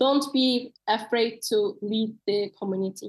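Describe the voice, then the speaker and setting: The speaker is a woman with a high pitch. She uses lively intonation. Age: 20s. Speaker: ocean advocate. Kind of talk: interview answer; presentation talk. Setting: webinar video call. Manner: hesitant with fillers.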